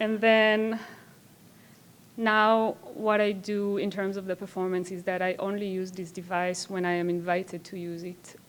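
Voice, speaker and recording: A woman's medium-pitched voice with a non-native accent, monotone, flat intonation and a moderate pace. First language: not English. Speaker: performance artist. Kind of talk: conference talk. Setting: stage with audience. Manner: hesitant, with filler words.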